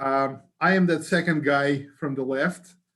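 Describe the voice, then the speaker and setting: The speaker has a Ukrainian accent. The pace is fairly slow. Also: man. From Ukraine. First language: Ukrainian or Russian. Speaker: battery materials testing scientist. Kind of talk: webinar presentation. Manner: hesitant, many fillers.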